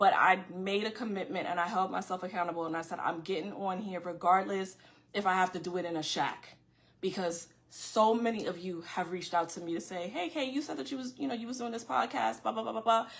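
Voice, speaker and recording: With a New York accent, the speaker goes at a very fast pace with lively intonation. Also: woman, medium pitch for a woman. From New York City (Far Rockaway, Queens). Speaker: podcast host. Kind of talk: casual monologue to viewers. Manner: loud.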